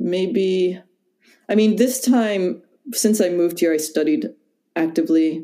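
The speaker has an American accent. The tone is dark and mellow. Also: woman. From US Midwest, Wisconsin. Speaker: yoga teacher. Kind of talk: casual chat.

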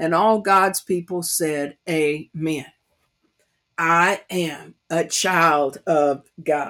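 A woman in an East Tennessee accent, fairly low in pitch, very slow pace, fairly even intonation, on a very clean recording with a silent background. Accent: Southern US (East Tennessee country accent). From US South, East Tennessee. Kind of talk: devotional Bible teaching.

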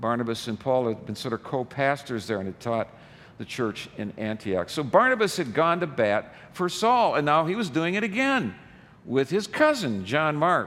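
With an American accent, a man talks at a moderate pace in a fairly high pitch that makes very wide swings. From US Midwest. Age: 70s. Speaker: pastor. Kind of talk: sermon.

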